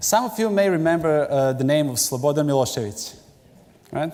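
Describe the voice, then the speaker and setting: Someone with a Serbian accent talks at a fairly quick pace with lively intonation, and room echo is audible. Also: man. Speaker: pastor. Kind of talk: sermon. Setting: church.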